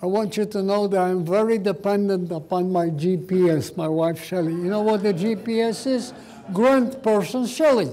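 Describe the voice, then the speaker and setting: A man's high voice at a moderate pace with ordinary pitch variation and audible room echo. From Poland, Warsaw. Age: 90s. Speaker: Holocaust survivor speaker. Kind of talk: public talk.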